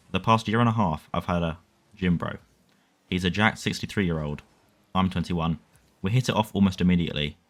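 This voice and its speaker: Delivered at a very fast pace with a British accent, the speech has ordinary pitch variation and long, frequent pauses. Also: man, very deep, low pitch for a man. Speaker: online story reader. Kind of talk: online story reading. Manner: relaxed, chill.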